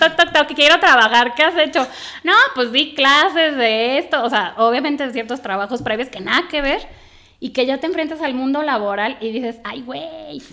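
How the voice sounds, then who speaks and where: In a Mexican accent, a woman projects a raised, animated voice at a high pitch and a moderate pace, with big swings in loudness. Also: ordinary pitch variation. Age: 30s. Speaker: environmental engineer turned soap entrepreneur. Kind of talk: casual chat.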